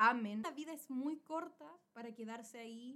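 The speaker has a Chilean accent and a bright, sharp tone. Intonation is lively and the pace fairly slow. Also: woman. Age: 20s. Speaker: podcast co-host. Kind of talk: casual chat.

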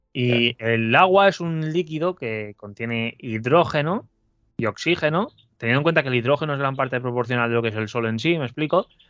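A man talks at a fairly quick pace and medium pitch. His is an ordinary speaking voice with ordinary pitch variation. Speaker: alchemist. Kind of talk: interview.

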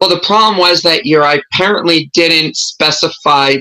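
The speaker is a woman with a bright, sharp tone. She talks at a moderate pace. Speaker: entrepreneur and business coach. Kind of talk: interview conversation.

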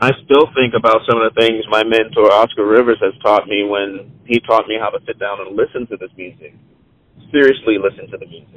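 At a fairly quick pace, a man with an American accent speaks with big swings in loudness. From Charleston, South Carolina. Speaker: jazz musician and producer. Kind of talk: interview. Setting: phone call while driving. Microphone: on speakerphone.

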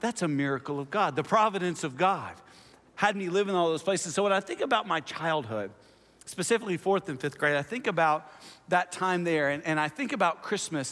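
Someone with an American accent speaks at a fairly quick pace in a bright, sharp tone with lively intonation. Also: man, high pitch for a man. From US South (Oklahoma and Tennessee). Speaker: pastor. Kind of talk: sermon. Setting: church.

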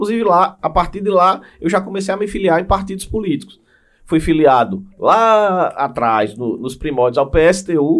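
Pitched high, a man speaks with lively intonation. He keeps a moderate pace. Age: 30s. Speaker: state government official, former city councillor. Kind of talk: podcast interview.

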